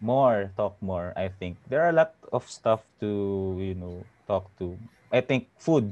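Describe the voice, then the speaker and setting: A man with an unremarkable speaking voice, fairly low pitch, lively intonation, big swings in loudness, and a fairly slow pace, against a quiet background. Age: 30s. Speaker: former office worker. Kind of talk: casual chat.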